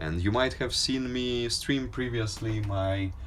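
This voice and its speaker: A man speaks at a fairly slow pace in a fairly low voice. The room echo is audible. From Ukraine, Kyiv. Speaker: livestreamer. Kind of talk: casual live stream chat. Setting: outdoors on a balcony.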